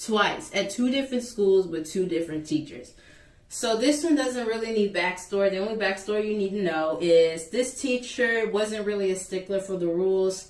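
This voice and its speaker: A woman talks at a moderate pace with a medium pitch. Her tone is animated and her intonation lively. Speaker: YouTuber. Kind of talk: storytime vlog. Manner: loud.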